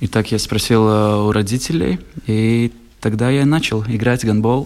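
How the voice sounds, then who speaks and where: A man talks at a very slow pace. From Latgale, Latvia (Ludza). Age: 20s. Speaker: handball player. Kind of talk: radio interview. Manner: halting, with frequent hesitations.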